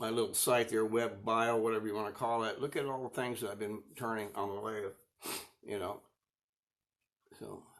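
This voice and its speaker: Monotone and flat, a man's medium-pitched voice goes at a moderate pace with long, frequent pauses. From Arizona. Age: 70s. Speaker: woodturner. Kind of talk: casual chat. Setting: livestream. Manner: relaxed.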